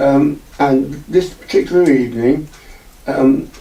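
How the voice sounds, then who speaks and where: Noticeable background noise fills the clip. A man talks, his pitch fairly high. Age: 80s+. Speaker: eyewitness. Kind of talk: testimony. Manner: halting.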